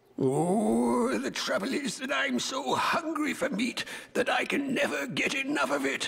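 A man does a cartoonish character voice at an extremely high pitch. His pace is moderate and his loudness very even. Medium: puppet show. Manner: plaintive, then good-humoured.

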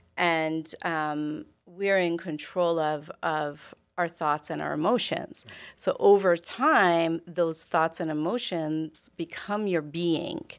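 Very slowly and with fairly even intonation, a woman with a fairly low pitch speaks over a quiet background. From Canada, immigrant family. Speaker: doctor, interview guest; podcast guest. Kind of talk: casual interview. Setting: studio. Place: studio. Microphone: studio mic.

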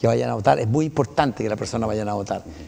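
Talking at a very fast pace, a man uses a fairly low pitch and a dark, mellow tone, with vocal fry throughout. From Chile. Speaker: municipal council candidate, retired pilot. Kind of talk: interview. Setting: TV studio. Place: studio. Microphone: lapel.

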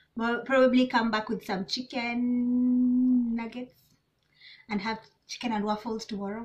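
Her high voice unfolds at a fairly slow pace. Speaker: vlogger. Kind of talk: casual vlog chat. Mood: relaxed and cheerful. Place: home room. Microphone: camera far.

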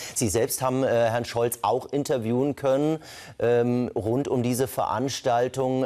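Against a quiet background, a man with a dark, mellow tone speaks at a medium pitch with ordinary variation. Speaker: TV news presenter interviewer. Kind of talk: news interview. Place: studio. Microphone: lapel.

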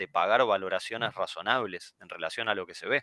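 In a Rioplatense accent, a man speaks with a bright, sharp tone. The sound is dry and close with no echo, on a very clean recording with a silent background. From Argentina. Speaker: finance commentator. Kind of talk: casual chat.

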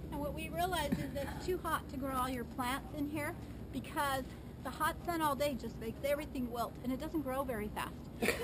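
A woman speaks at a fairly quick pace in a high voice with ordinary pitch variation, and noticeable background noise can be heard. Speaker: garden tour guide. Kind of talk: tour explanation. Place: garden.

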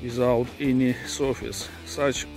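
A man talks with fairly even intonation over clear background music. The sound is dry, with no echo. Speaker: travel vlogger. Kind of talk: casual travel commentary. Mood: unimpressed, dismissive. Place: open country. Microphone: phone near.

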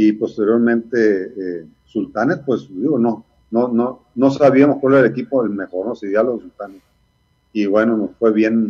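A man speaks at a fairly slow pace against a quiet background, with ordinary pitch variation. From Sonora, Mexico (Ciudad Obregón); Sonora. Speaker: retired baseball player and coach; interviewee. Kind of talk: interview. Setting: video call. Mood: reflective, nostalgic. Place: home room. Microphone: video call.

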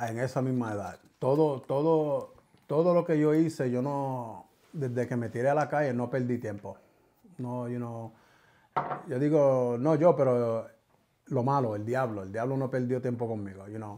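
With a dark, mellow tone and ordinary pitch variation, a man speaks at a fairly slow pace. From New York City, Bronx (Puerto Rican family). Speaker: podcast guest. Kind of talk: testimony. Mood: reflective, earnest. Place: studio. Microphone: studio mic.

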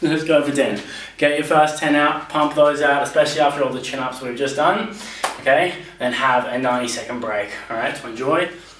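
There's audible room echo and light background noise as a man talks at a fairly quick pace. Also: ordinary pitch variation. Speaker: personal trainer. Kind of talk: tutorial. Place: home room.

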